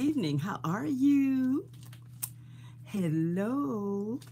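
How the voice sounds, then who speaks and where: Very wide pitch swings in a woman's speech, plus audible room echo. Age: 70s. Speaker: beauty vlogger. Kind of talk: casual chat. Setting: live stream recording. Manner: chatty, informal.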